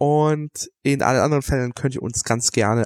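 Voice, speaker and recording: A man with an unremarkable speaking voice talks at a moderate pace. The sound is dry and close with no echo, and his pitch varies in an ordinary way. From Germany. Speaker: podcast host. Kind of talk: casual chat.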